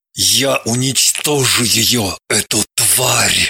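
A man growls at a medium pitch and a very slow pace. The intonation is fairly even, and the sound is dry and close with no echo. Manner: hissing, full of hatred.

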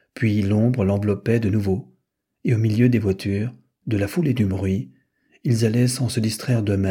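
Against a quiet background, this is a natural reading voice with fairly even intonation.

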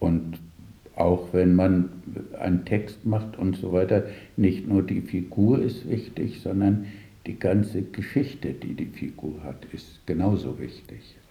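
Low pitch from a man, dark, mellow tone, slow pace, ordinary pitch variation and audible room echo

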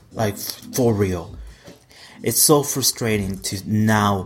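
This man speaks at a very slow pace with vocal fry. His pitch is fairly low, with ordinary variation. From Mexico. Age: 20s. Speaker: podcast host, singer-songwriter. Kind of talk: casual monologue. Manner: animated.

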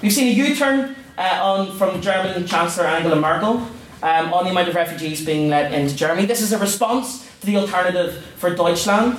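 Over noticeable background noise and audible room echo, a man speaks at a fairly quick pace in a high pitch, with ordinary pitch variation and very even loudness. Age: 20s. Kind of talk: formal debate speech. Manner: impassioned.

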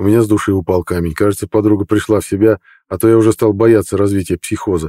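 The speaker uses a natural reading voice. Intonation is fairly even throughout.

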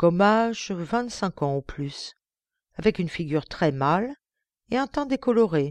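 The voice reads aloud naturally. Its intonation is lively over a quiet background.

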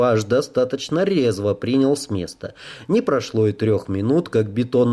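Someone is reading aloud in a natural voice.

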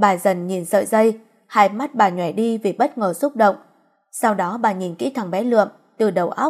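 Someone is reading aloud in a natural voice, and the background is quiet.

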